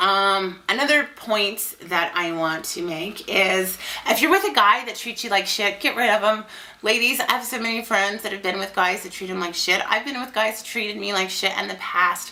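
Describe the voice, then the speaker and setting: Against noticeable background noise, a woman talks at a moderate pace in a medium pitch with ordinary pitch variation. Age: 30s. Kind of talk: casual talk to camera. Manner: rambling, informal.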